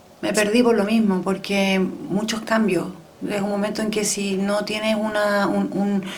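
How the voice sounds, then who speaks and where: A woman's medium-pitched voice at a fairly slow pace with fairly even intonation, amid noticeable background noise and audible room echo. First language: French (speaking Spanish). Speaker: podcast guest, raised in a diplomatic family. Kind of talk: personal interview testimony. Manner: reflective, conversational.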